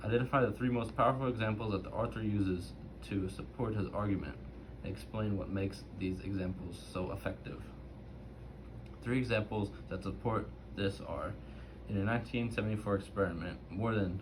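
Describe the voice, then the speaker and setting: Lively in intonation, a man speaks fairly low at a moderate pace, with long, frequent pauses. Room echo can be heard. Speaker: student doing a reading assignment. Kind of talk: reading aloud. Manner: halting, self-correcting.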